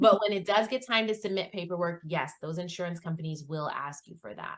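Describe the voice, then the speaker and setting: A woman with an American accent, fairly low in pitch, at a fairly quick pace. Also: lively intonation. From Northern Virginia. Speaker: insurance agent. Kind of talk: interview. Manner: fast.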